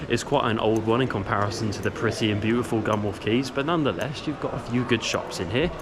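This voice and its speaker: Speaking at a fairly quick pace, a man holds a medium pitch with ordinary variation. The recording has noticeable background noise and audible room echo. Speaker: travel vlogger. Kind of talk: walking travel vlog narration.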